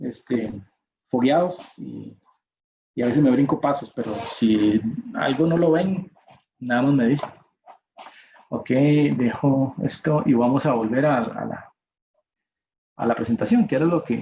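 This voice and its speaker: A man talks fairly slowly at a medium pitch, pausing long and often, with pitch that moves in an ordinary way. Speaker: university professor. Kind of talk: lecture.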